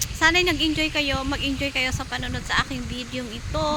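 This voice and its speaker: A woman's high-pitched voice is raised and projected. Audible room echo and noticeable background noise accompany it. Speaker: overseas worker vlogger. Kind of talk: casual vlog walkthrough. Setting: outdoors in a park.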